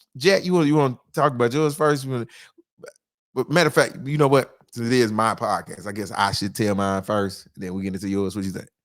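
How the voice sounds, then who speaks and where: On a very clean recording with a silent background, a man talks at a very fast pace with lively intonation. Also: medium pitch for a man. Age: 40s. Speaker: comedian and podcast host. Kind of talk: casual podcast chat.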